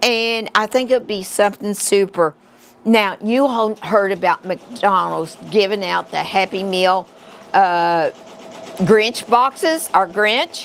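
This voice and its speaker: A woman with a West Virginia accent, medium in pitch, very slow, with ordinary pitch variation. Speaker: crafting instructor. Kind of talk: live tutorial. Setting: livestream. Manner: casual, halting.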